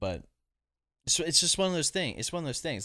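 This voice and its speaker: This man is recorded very cleanly against a silent background. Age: 20s. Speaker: streamer. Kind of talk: casual chat. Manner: animated.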